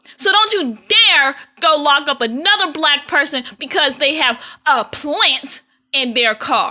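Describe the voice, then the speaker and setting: In an American accent, a woman speaks at a high pitch in a raised, projected voice with a bright, sharp tone. Her intonation is lively, her loudness very even, and her pace fairly slow. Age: 30s. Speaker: video blogger. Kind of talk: personal monologue rant. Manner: animated, emphatic.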